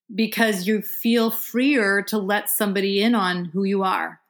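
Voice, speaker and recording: On a very clean recording with a silent background, a woman in a plain, everyday voice, medium pitch and an American accent speaks with fairly even intonation. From Vermont, US. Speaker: psychologist and sex therapist. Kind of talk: therapy session interview.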